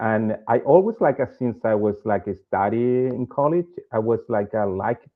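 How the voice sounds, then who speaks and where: Using a Chilean accent, a man speaks at a moderate pace. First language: Spanish. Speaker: bank executive. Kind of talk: interview. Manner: halting.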